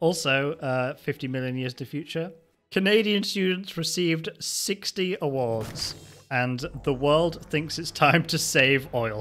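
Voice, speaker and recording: This man talks at a very slow pace. His pitch varies in an ordinary way. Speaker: comedy narrator. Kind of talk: comedic narration reading text.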